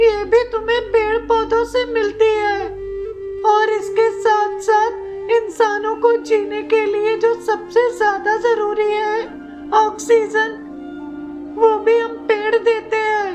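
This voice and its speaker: Over clear music in the background, a cartoonish character voice talks at a very slow pace. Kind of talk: children's puppet story dialogue.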